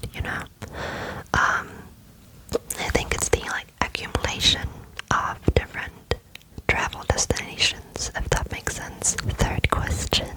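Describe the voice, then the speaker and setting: A woman whispers at a fairly slow pace with long, frequent pauses. Noticeable background noise can be heard. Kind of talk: whispered ASMR Q&A to camera. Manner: whispered, soft, slow with frequent fillers.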